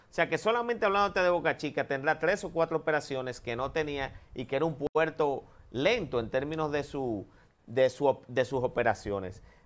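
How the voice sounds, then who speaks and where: Keeping a moderate pace, a man talks at a fairly high pitch with lively intonation. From Dominican Republic. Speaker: government agency director; guest. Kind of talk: TV interview. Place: studio. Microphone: lapel.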